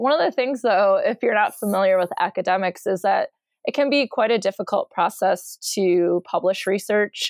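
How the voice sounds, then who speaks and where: With an American accent, a woman in an unremarkable speaking voice talks at a moderate pace and medium pitch, showing ordinary pitch variation in a dry, close sound with no echo. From Michigan. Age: 40s. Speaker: college professor and podcaster. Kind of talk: casual chat.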